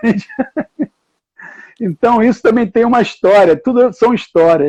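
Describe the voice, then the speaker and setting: A man's dark, mellow tone with a Carioca accent and ordinary pitch variation. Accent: carioca Brazilian Portuguese. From Rio de Janeiro, Brazil. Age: 70s. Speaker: water polo coach and university professor. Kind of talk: live online talk.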